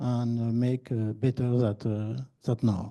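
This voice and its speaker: In a French accent, a man speaks at a medium pitch with a dark, mellow tone and monotone, flat intonation. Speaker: sports federation official. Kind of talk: conference Q&A answer. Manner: halting.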